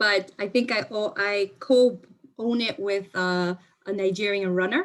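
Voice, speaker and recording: A plain, everyday voice from a woman with an American accent, medium in pitch, with fairly even intonation. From New York, South Bronx. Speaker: marketing executive. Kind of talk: panel discussion.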